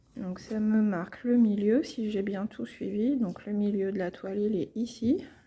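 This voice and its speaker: Somewhat breathy, a woman's dark, mellow tone with fairly even intonation. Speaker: cross-stitch YouTuber. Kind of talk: casual tutorial. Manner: hesitant, many fillers.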